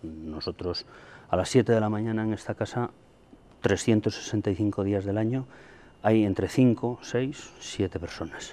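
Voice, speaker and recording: A man speaks at a very slow pace with a fairly low pitch. His tone is dark and mellow, with ordinary pitch variation. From Santander, Cantabria, Spain; Cantabria, Spain. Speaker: dairy farmer. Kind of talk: interview. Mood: earnest, frustrated about milk prices. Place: farm.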